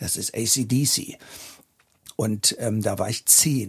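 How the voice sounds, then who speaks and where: This man's somewhat breathy voice sits at a medium pitch. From northern Germany, Hannover and Braunschweig. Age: 50s. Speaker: drummer and drum teacher. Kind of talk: casual interview. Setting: garden house.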